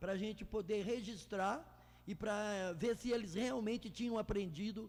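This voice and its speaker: A man speaks at a moderate pace in a high pitch, with ordinary pitch variation. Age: 60s. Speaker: club pioneer, church volunteer. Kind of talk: interview conversation. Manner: halting.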